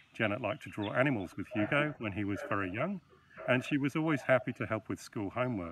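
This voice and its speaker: A man rattles along at a very fast pace, the sound dry with no echo and noticeable background noise behind him. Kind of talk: eulogy read at a funeral. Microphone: video call.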